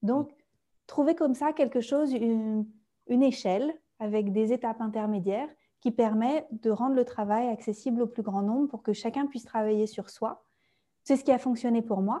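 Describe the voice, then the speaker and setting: Against a quiet background, a woman speaks at a moderate pace with a fairly high pitch, ordinary pitch variation and a dark, mellow tone. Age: 30s. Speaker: naturopath and coach for therapists. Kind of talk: interview testimony. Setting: video-recorded podcast.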